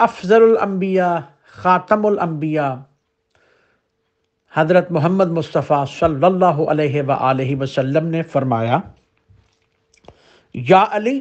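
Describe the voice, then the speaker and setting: This man's voice sits high and carries lively intonation. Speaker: Islamic scholar. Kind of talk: religious sermon / teaching.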